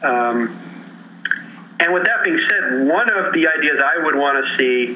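Over noticeable background noise and audible room echo, a man with a Chicago accent talks at a moderate pace in a fairly high pitch. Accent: Chicago American. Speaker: sports writer. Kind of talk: casual interview chat.

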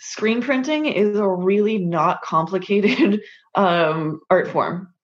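The voice has an American accent and a very slow pace. Its intonation is lively. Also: woman. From US West Coast, California. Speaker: model, artist and photographer. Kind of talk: interview.

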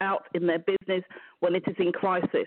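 Here a woman talks with a British accent. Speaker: business mentor. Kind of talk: interview.

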